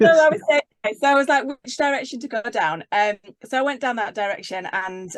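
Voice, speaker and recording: Very wide pitch swings mark a woman's fairly quick speech in a dry, close sound with no echo. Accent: Yorkshire. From Yorkshire, northern England. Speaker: leadership coach. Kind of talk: casual interview.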